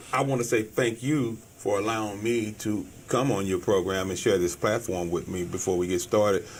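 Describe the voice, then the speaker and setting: This man has an American accent and a fairly low pitch. He keeps a moderate pace with ordinary pitch variation. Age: 60s. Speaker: business owner. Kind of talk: interview. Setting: studio. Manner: halting.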